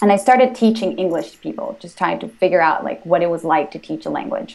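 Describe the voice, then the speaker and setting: Racing along at a very fast pace, a woman with a Spanish accent speaks at medium pitch, with very wide pitch swings and big swings in loudness. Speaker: language-learning entrepreneur. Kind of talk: interview. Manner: hesitant, many fillers.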